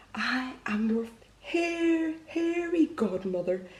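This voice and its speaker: A woman drags out her words very slowly in a high, put-on character voice. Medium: read story.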